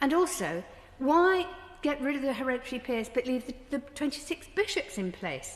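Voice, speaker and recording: A woman speaks in a southern English accent. Her pitch swings very widely. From southern England, Brighton. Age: 70s. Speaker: politician. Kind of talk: parliamentary speech. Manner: formal.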